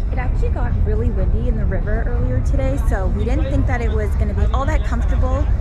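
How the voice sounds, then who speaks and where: A woman at a fairly quick pace, the sound dry with no echo, loud music in the background. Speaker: sailing vlogger. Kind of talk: casual vlog chat. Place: waterside. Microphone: phone near.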